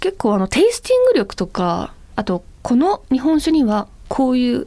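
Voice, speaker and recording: This woman's high voice has a dark, mellow tone and very wide pitch swings, delivered at a moderate pace. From Hokkaido, Ebetsu. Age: 30s. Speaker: model and radio co-host. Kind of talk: casual chat.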